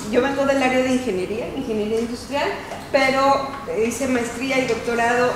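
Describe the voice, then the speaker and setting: A woman at a moderate pace amid noticeable background noise and audible room echo. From Mexico. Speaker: professor. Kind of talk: self-introduction. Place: meeting room. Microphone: camera far.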